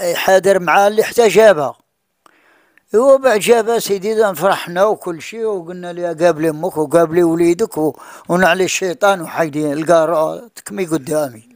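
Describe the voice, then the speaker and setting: Against a quiet background, a man speaks at a moderate pace and high pitch with ordinary pitch variation, in a dry sound with no echo. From Morocco. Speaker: father of missing woman; interviewee. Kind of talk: interview testimony. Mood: distressed, telling family hardship. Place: home room. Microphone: handheld.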